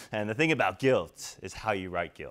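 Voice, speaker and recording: Lively intonation and a fairly quick pace from a man. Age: 30s. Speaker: keynote speaker. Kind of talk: conference keynote talk. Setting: stage with audience. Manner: animated. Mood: humorous, anecdotal. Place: hall.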